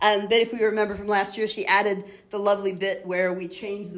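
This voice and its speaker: There is noticeable background noise. A woman with a medium pitch speaks at a very fast pace. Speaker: academic society chair. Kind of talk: meeting address.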